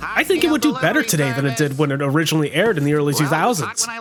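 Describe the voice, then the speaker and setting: A man talks very fast in an animated tone, his pitch swinging very widely. Noticeable background noise runs underneath. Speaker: anime reviewer. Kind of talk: video essay commentary.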